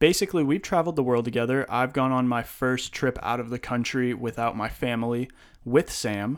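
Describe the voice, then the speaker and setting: A plain, everyday voice from a man at a medium pitch, fairly quick in pace with ordinary pitch variation, over a very clean recording with a silent background. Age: 20s. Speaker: podcast host. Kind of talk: casual chat.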